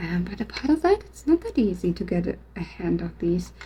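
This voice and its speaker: There is noticeable background noise as a woman talks with a non-native accent. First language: not English. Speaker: art vlogger. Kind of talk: casual vlog monologue. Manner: halting.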